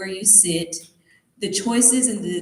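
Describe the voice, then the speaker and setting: With a Tennessee accent, a woman speaks at a fairly slow pace amid audible room echo. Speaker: motivational speaker, beauty queen. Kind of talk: motivational talk to students.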